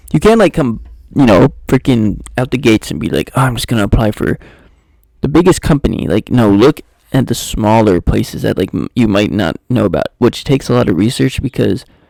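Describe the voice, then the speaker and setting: Quiet and dry, close with no echo, a man speaks at medium pitch with lively intonation, vocal fry and a dark, mellow tone. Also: fairly quick pace. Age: 20s. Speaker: talk show host. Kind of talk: casual solo talk.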